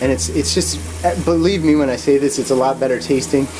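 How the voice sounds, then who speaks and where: Talking at a very fast pace with very wide pitch swings, a man with a New Jersey accent and a medium pitch is heard against noticeable background noise. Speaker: cooking vlogger. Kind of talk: casual cooking tutorial. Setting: home kitchen. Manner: halting, many fillers and false starts; stuttering a little.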